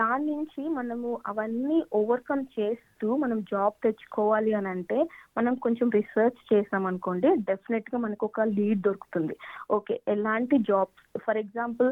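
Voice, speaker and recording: Fairly high in pitch, a woman talks in an unremarkable speaking voice with ordinary pitch variation. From India. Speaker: career coach. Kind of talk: interview.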